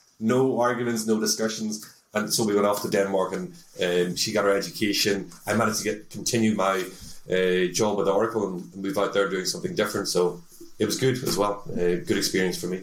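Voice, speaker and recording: Talking at a fairly quick pace, a man with a Northern Irish accent has a fairly low pitch and ordinary pitch variation. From Northern Ireland, Belfast. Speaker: tech sales executive. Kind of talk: interview. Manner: hesitant with frequent fillers.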